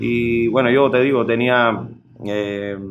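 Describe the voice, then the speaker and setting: With a Cuban accent, a man speaks at a medium pitch with fairly even intonation, and the room echo is audible. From Cuba, rural Sancti Spíritus near Trinidad. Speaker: musician. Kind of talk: interview. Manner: halting.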